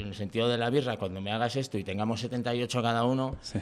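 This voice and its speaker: A man has an ordinary speaking voice at a medium pitch. He talks at a fairly quick pace. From Valladolid, Spain. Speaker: comedian. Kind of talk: casual chat.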